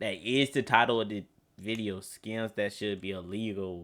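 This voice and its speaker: A man speaks at a fairly slow pace. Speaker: streamer reacting to a video. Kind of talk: reaction commentary. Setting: at home at night. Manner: quiet, talking low.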